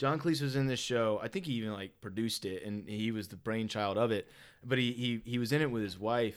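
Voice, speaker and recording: A man with a Southern US accent speaks at a fairly quick pace. The recording is very clean, with a silent background. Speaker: podcast host. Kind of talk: casual chat.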